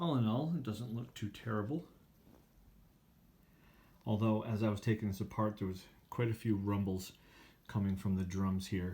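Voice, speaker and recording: A man's fairly low, somewhat breathy voice with a dark, mellow tone, ordinary pitch variation and long, frequent pauses. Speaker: phonograph restorer. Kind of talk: repair tutorial narration. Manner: slow.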